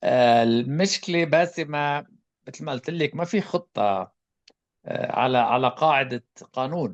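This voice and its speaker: Against a quiet background, a man with an Arabic accent talks at a very slow pace with lively intonation. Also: fairly high pitch for a man. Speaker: public health expert. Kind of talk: panel discussion answer.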